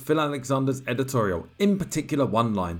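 A man with a British accent and a fairly high voice. He talks at a fairly quick pace with lively intonation. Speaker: podcast host. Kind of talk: reading magazine aloud with commentary.

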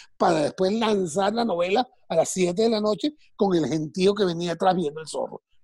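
A man talks in a dark, mellow tone. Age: 60s. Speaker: TV and radio entertainer. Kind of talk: casual interview.

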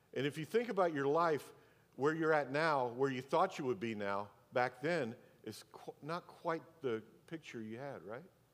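A man speaks in a plain, everyday voice. His pitch is fairly high and his intonation lively. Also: moderate pace. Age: 60s. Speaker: pastor. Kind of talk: sermon.

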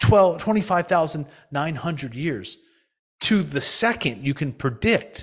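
A man's plain, everyday voice, fairly high in pitch and at a fairly slow pace. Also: lively intonation. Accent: American. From US, New Jersey. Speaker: financial advisor, retired hedge fund partner. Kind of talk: podcast interview.

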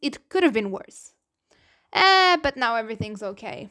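With a Portuguese accent, a woman speaks at a fairly slow pace in a bright, sharp tone, captured in a very clean recording with a silent background. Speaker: podcast host. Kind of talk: solo podcast monologue. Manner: casual, hesitant with many fillers.

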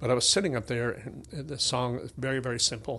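Speaking at a fairly quick pace, a man with a bright, sharp tone, medium pitch and vocal fry shows ordinary pitch variation. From Tennessee. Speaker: musician and music academy owner. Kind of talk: casual interview. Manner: halting.

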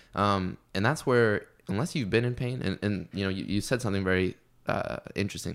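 Here is a man with an ordinary speaking voice and a fairly low pitch. He talks at a fairly quick pace in a very clean recording with a silent background. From US Midwest. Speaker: fitness coach. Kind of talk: casual chat.

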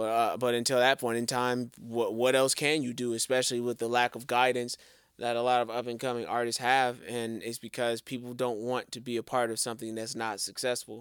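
Recorded very cleanly against a silent background, a man speaks at medium pitch and a fairly quick pace. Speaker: music podcast co-host. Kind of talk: casual chat. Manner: animated.

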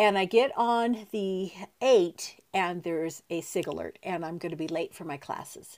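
A woman with an American accent talks at a fairly slow pace and medium pitch. Her loudness swings widely, and her pitch variation is ordinary. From US West, San Diego County. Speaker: aunt of the host, mother. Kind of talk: casual interview.

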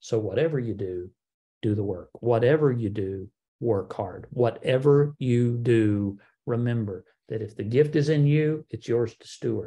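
Somewhat breathy and dark, mellow in tone, a man speaks at a medium pitch and a fairly slow pace, with ordinary pitch variation and big swings in loudness. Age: 50s. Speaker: podcast host. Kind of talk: solo Q&A podcast monologue.

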